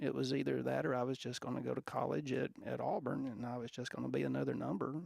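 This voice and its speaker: With an Alabama accent, a man speaks at a moderate pace in a fairly low voice that makes very wide pitch swings. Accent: Southern US (Alabama). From US South, Alabama. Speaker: football coach. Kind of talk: interview storytelling. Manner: halting, many fillers and restarts.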